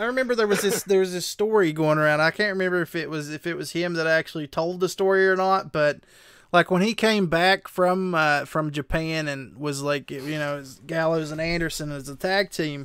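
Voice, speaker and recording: Delivered fairly quickly in a Southern West Virginia accent with ordinary pitch variation, the speech comes through dry and close with no echo on a very clean recording with a silent background. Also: man, high pitch for a man. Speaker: streamer. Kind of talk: casual chat.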